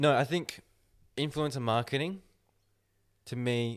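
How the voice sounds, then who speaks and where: A man talks at a medium pitch and a fairly slow pace. His pitch moves in an ordinary way. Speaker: podcast host. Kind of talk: casual chat.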